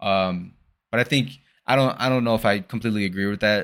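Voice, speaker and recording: On a very clean recording with a silent background, a man with a plain, everyday voice talks at a medium pitch and a fairly quick pace. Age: 20s. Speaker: podcast host. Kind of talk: casual solo monologue.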